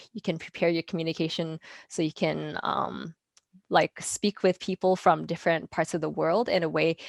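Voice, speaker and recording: In a very clean recording with a silent background and a dry, close sound with no echo, a woman with vocal fry speaks at a moderate pace, her fairly low pitch held in fairly even intonation. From Canada (British Columbia), born in Taiwan. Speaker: speech language pathologist. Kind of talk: interview conversation. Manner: hesitant, many fillers.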